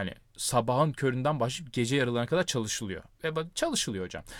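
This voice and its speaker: This man speaks fairly quickly at a medium pitch, on a very clean recording with a silent background. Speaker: academic podcast host. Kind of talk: casual chat. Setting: recording inside a wardrobe.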